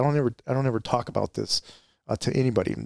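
A man with an American accent speaks at a medium pitch and a very fast pace. The recording is very clean with a silent background and a dry, close sound with no echo. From Arizona, East Valley. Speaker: retired police officer and life coach. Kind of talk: interview. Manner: halting.

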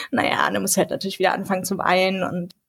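Her pitch is medium for a woman. The voice is somewhat breathy. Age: 20s. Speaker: law student and youth group leader. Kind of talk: casual podcast chat.

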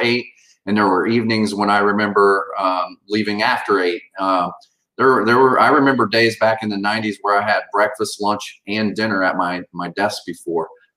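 A man speaks in a plain, everyday voice at a fairly low pitch. He keeps a moderate pace and fairly even intonation. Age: 50s. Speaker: financial services CEO. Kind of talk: interview.

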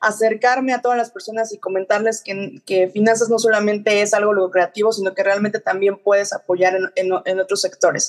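A woman with a Mexican accent at medium pitch, fairly quick and hardly pausing, her intonation fairly even. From Mexico. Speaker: finance professional. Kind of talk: interview. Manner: halting, many fillers.

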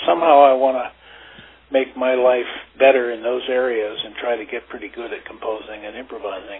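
A man with an American accent at a medium pitch and a fairly quick pace, over noticeable background noise. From western Pennsylvania (Oil City). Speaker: tuba player and music professor. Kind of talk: interview. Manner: halting.

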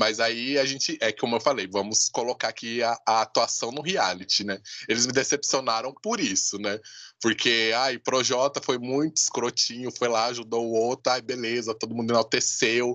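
A man talks at a moderate pace in an unremarkable speaking voice, his pitch medium and his intonation fairly even. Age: 30s. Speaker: podcast host. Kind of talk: casual chat.

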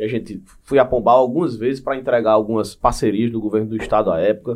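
A man talks at a very fast pace. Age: 30s. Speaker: state government official, former city councillor. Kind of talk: podcast interview.

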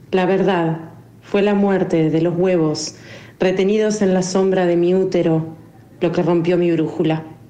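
Over noticeable background noise, a woman speaks in a fairly low, monotone voice. Her intonation stays flat and her loudness very even. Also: fairly slow pace. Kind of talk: poetry reading aloud, intimate and mournful, of a poem about loss and being lost.

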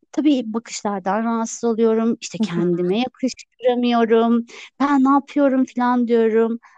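A woman speaks at a moderate pace with a fairly high pitch and ordinary pitch variation, in an ordinary speaking voice. The sound is dry and close, with no echo. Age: 30s. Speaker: salesperson and minimalism influencer. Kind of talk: casual chat.

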